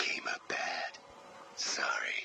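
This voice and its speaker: A man is whispering in a put-on character voice. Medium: voice reel. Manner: speaks of himself as we, harsh and curt.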